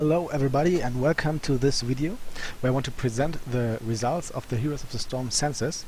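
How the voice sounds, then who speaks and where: Somewhat breathy, a man's voice comes through. He talks at a fairly quick pace. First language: not English. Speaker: gaming YouTuber presenting survey results. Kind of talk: commentary on survey results. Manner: halting, many fillers.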